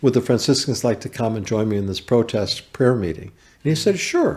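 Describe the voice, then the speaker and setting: A man with an American accent speaks at a medium pitch in a somewhat breathy voice, his pitch varying in an ordinary way. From US West Coast, Berkeley, California. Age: 60s. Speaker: carpenter and small business owner. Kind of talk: podcast interview, personal testimony.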